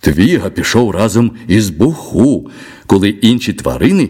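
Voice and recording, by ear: The reading is aloud and in a natural voice, and its intonation is lively.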